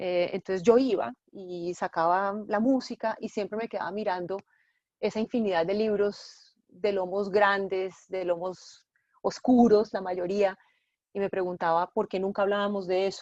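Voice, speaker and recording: An unremarkable speaking voice moves at a fairly slow pace with fairly even intonation. The sound is dry and close with no echo, against a quiet background. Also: woman, medium pitch for a woman. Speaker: journalist and bookshop owner. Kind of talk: interview.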